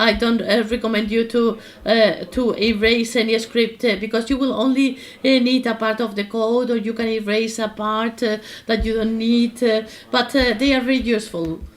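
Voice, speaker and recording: A woman's fairly high voice in a monotone, flat intonation at a moderate pace. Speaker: workshop instructor. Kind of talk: tutorial. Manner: halting, many fillers.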